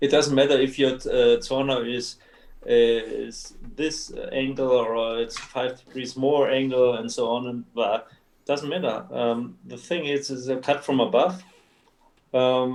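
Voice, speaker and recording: A man speaks with a non-native accent at a fairly slow pace. His medium pitch follows a fairly even intonation. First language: German. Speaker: martial arts instructor. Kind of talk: casual chat. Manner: halting.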